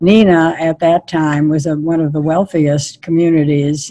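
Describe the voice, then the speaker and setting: Speaking at a fairly slow pace, a woman uses a very deep, low pitch with a dark, mellow tone and fairly even intonation. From US Midwest, Milwaukee. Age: 90s. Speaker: activist. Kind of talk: interview. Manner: halting.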